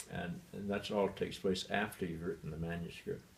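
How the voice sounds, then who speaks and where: Somewhat breathy, a man speaks at a fairly quick pace in a monotone, flat intonation. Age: 80s+. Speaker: retired bishop and author. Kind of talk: interview.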